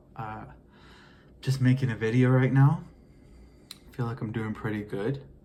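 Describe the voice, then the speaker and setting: A man with an American accent, medium pitch and a dark, mellow tone, somewhat breathy, with fairly even intonation and long, frequent pauses. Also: moderate pace. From US, Mexican American. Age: 20s. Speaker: vlogger. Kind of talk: casual monologue vlog. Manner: halting.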